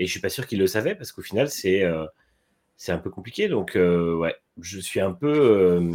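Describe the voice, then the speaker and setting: This man has a very deep, low voice with lively intonation. He talks at a moderate pace, and his loudness swings widely. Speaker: motorsport podcast co-host. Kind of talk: casual chat.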